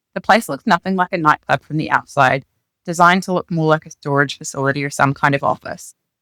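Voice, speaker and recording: A very fast New Zealand accent in a bright, sharp tone with ordinary pitch variation, dry and close with no echo, on a very clean recording with a silent background. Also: woman. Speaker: author reading her own memoir. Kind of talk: reading aloud.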